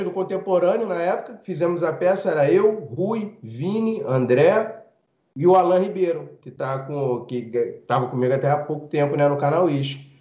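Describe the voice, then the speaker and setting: A man's high voice with very wide pitch swings at a moderate pace, in audible room echo. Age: 30s. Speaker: comedian. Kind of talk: casual chat.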